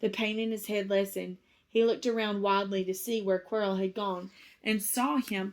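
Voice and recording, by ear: Read aloud in a natural voice, the words move along with fairly even intonation.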